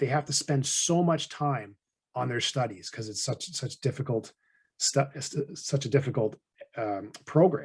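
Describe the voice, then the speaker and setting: Somewhat breathy, a man with a Canadian accent and a fairly high pitch speaks at a fairly slow pace. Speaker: financial advisor and podcast host. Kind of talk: conversational podcast explanation. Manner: monotone.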